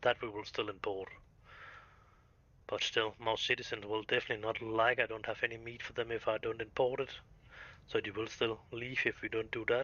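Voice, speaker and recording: A man with a non-native accent speaks fairly quickly in a flat monotone, leaving long, frequent pauses. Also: medium pitch for a man. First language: Danish. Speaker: video game streamer. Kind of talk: live gameplay commentary. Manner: halting.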